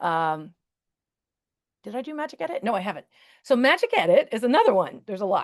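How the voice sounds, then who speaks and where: A woman speaks at a very fast pace in a high voice, her pitch swinging very widely and her loudness rising and falling sharply, with long, frequent pauses. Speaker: teacher and Canva presenter. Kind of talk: webinar tutorial with live demo. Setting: video call webinar. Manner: casual, chatty.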